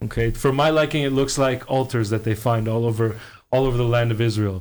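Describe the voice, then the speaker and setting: A man speaks at a very fast pace with very even loudness. His intonation is fairly even. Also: medium pitch for a man. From Quebec, Montreal. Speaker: tour guide. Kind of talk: podcast interview.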